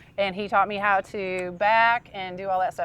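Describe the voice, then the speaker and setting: Against a quiet background, a woman with a plain, everyday voice speaks at a moderate pace and a medium pitch. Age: 60s. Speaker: RV owner giving camper tour. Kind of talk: casual interview on a home tour. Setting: inside and outside an RV at a lake.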